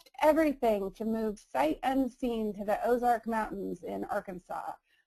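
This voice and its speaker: Her pitch fairly high and her intonation lively, a woman speaks at a moderate pace. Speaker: PR and marketing consultant. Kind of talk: webinar presentation. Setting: online webinar. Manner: cheery.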